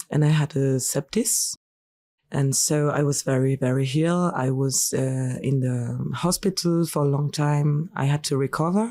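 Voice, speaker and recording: A woman with a French accent speaks at a fairly slow pace in a very deep, low pitch. Her tone is dark and mellow, and her loudness stays very even. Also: ordinary pitch variation. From France. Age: 20s. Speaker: singer and clown. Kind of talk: interview. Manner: halting.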